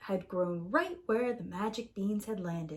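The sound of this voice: A woman's medium-pitched voice with a fairly bright tone, at a fairly slow pace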